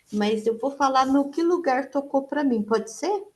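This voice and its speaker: Soft-spoken and high-pitched, a woman talks with ordinary pitch variation. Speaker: participant in online psychodrama session. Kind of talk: testimony. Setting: video call. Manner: halting.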